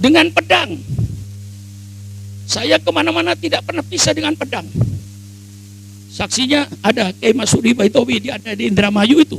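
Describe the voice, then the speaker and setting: With music playing behind him, a man speaks in an animated tone, leaving long, frequent pauses. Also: moderate pace. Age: 80s+. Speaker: Islamic cleric. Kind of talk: speech.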